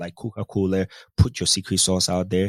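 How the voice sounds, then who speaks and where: Recorded with a dry, close sound and no echo, a man with a Ghanaian accent speaks at a moderate pace. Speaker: cybersecurity consultant. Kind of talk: casual interview chat.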